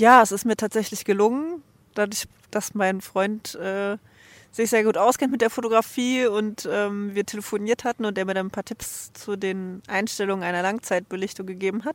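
A woman with an ordinary speaking voice, medium in pitch, at a moderate pace with fairly even intonation, in a dry, close sound with no echo on a very clean recording with a silent background. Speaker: traveler, interview guest. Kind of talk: interview. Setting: outdoors on a bench.

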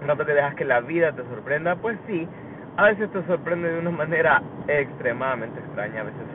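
Noticeable background noise sits under a voice that moves at a fairly quick pace with lively intonation. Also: man. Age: 20s. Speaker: podcaster. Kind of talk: casual monologue. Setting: in a car.

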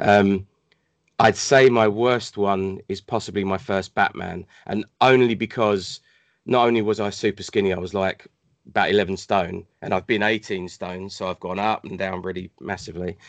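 A man with a British accent at a moderate pace, over a quiet background. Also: fairly low pitch for a man. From Hong Kong. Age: 40s. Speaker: cosplayer and gamer. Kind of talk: casual chat.

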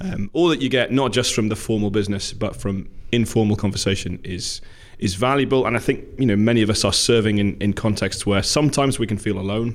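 Medium-pitched man with a Newcastle accent, at a fairly quick pace with ordinary pitch variation. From Newcastle, England. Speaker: minister.

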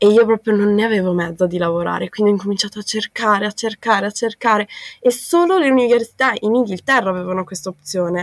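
Talking at a very fast pace, a woman speaks at a medium pitch. The sound is dry and close, with no echo. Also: ordinary pitch variation. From South Tyrol, northern Italy. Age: 20s. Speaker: university student. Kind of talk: interview. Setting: remote call.

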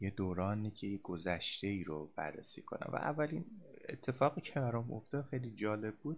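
With lively intonation, a man talks at a moderate pace in a somewhat breathy voice. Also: fairly low pitch for a man. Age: 30s. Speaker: podcast host, psychology graduate. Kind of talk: casual monologue. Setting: home recording at a microphone. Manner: halting.

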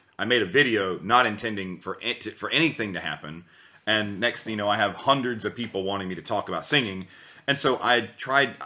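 A man speaks at a fairly quick pace with a fairly low pitch. His is an ordinary speaking voice. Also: ordinary pitch variation. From US South. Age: 30s. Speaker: vocal coach. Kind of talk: casual chat.

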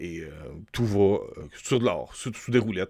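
A man with a Quebec accent speaks at a moderate pace with lively intonation over a quiet background. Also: dry, close sound with no echo. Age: 40s. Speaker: YouTube film commentator. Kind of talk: solo video commentary. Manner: hesitant, many fillers.

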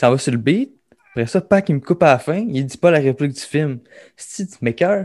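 A man's fairly high voice with a Quebec accent and lively intonation at a moderate pace, dry and close with no echo. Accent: Québécois French. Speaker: podcast co-host. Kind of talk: casual chat.

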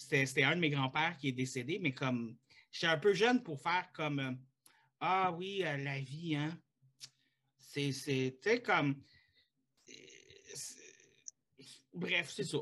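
Speaking with a Quebec accent, a man has a fairly high pitch and a bright, sharp tone. He goes at a very slow pace with long, frequent pauses and lively intonation. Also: very clean recording, silent background. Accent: Québécois French. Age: 30s. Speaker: podcast host. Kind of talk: casual chat.

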